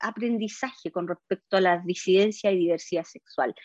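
This is a woman's voice. She speaks with a Chilean accent. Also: dry, close sound with no echo. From Chile, O'Higgins region (San Fernando). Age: 40s. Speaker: constitutional convention member. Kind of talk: interview.

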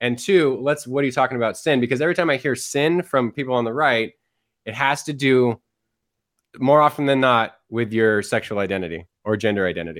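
Using a normal speaking voice, a man talks at a fairly quick pace and a medium pitch with lively intonation. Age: 40s. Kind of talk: casual conversation.

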